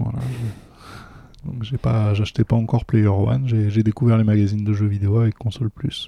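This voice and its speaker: A man speaks at a moderate pace in a fairly low, somewhat breathy voice with fairly even intonation and long, frequent pauses, the sound dry and close with no echo. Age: 40s. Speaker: gaming association volunteer. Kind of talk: casual interview chat. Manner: hesitant, repeats words.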